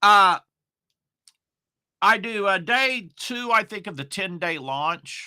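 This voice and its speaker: A man projects a raised, high-pitched voice with a bright, sharp tone. He speaks at a very slow pace with long, frequent pauses, in a very clean recording with a silent background. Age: 60s. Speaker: online marketing coach. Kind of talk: casual monologue. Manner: rambling, filler-heavy.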